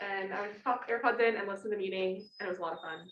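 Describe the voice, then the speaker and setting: A woman speaks at a very fast pace with an American accent. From Arizona. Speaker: student club officer. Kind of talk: club meeting introduction.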